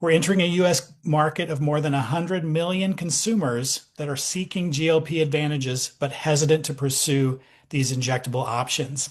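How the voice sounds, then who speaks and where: At a fairly quick pace with hardly any pauses, a somewhat breathy man talks at a fairly high pitch with ordinary pitch variation. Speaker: doctor presenting a product. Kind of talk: sales pitch on video call. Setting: video call. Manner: animated.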